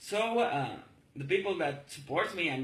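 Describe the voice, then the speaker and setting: With audible room echo and noticeable background noise, a man speaks in a high pitch with very wide pitch swings. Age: 40s. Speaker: political activist. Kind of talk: political monologue video. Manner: halting.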